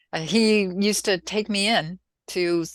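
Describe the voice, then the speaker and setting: In a very clean recording with a silent background, a woman with an American accent speaks at a very slow pace with ordinary pitch variation. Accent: Minnesota accent, occasional. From US Midwest, Minnesota. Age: 70s. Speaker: soil scientist. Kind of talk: casual interview. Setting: podcast interview.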